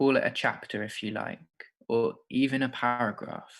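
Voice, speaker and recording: At a moderate pace, a man in an unremarkable speaking voice talks with a medium pitch and fairly even intonation. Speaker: creative writing workshop host. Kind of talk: guided writing exercise.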